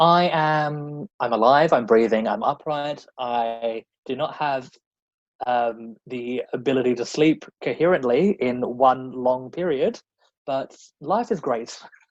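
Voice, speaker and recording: The pace is very slow, and this man speaks with an Australian accent. His pitch is medium, with ordinary pitch variation. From Australia, rural South Australia. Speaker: drag performer and cabaret comedian. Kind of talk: casual interview chat. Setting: podcast interview.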